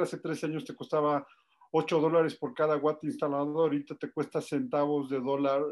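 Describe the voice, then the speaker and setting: A man with a Mexican accent over a quiet background. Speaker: energy expert. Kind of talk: panel discussion. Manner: fast.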